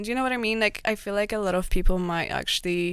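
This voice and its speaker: The recording is very clean with a silent background, and the speaker has a Polish accent. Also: woman. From Poland. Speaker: digital marketer. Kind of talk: casual chat.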